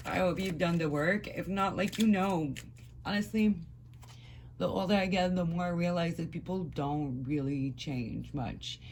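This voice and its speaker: Spoken at a moderate pace, this voice carries a slight French accent. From France. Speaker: tarot reader. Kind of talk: tarot reading to camera. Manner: casual, mumbles at times; blunt, conversational.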